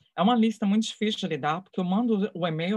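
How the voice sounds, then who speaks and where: A woman's somewhat breathy voice at medium pitch, ordinary pitch variation and a very fast pace. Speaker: photography mentor and curator. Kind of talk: live interview.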